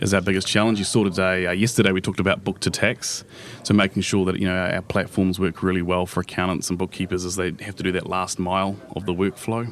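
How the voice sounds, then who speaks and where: Speaking at a very fast pace, a man with a New Zealand accent has a very deep, low pitch. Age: young. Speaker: business executive. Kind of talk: interview. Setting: live at a conference.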